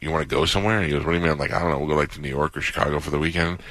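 A man does the talking here. The pitch of his voice is very deep and low. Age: 50s. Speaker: radio host. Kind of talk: casual chat. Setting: studio.

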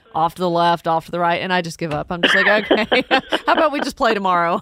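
Noticeable background noise sits behind the speech. A woman talks at a medium pitch. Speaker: radio host. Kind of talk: call-in radio chat. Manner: warm, smiling tone.

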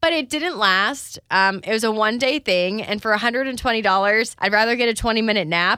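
On a very clean recording with a silent background, a woman speaks in a bright, sharp, animated tone, fairly high in pitch with ordinary variation and hardly any pauses. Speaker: wellness podcast host. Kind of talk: casual solo podcast monologue. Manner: chatty, animated.

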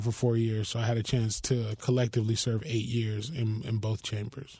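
A man with an American accent speaks at a fairly quick pace, his voice somewhat breathy and medium in pitch. The recording is very clean, with a silent background. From Miami, Florida. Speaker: politician and political director. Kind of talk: radio interview. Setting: radio studio.

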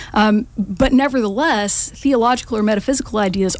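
A woman speaks with an American accent at a fairly quick pace. She has an ordinary speaking voice, pitched fairly high. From US South (Georgia, Macon). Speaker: political candidate. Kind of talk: interview. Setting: studio.

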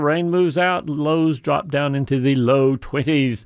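A man speaks in an ordinary speaking voice, fairly high in pitch. His pitch varies in an ordinary way. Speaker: radio host.

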